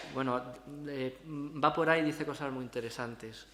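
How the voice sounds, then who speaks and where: Over noticeable background noise and audible room echo, a man at a medium pitch speaks at a fairly slow pace in a monotone, flat intonation. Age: middle-aged. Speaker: priest and lecturer. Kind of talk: lecture. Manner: halting, with many repetitions and fillers.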